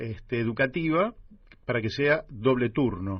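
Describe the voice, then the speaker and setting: Very slowly, a man speaks with lively intonation. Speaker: radio host. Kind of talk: radio interview.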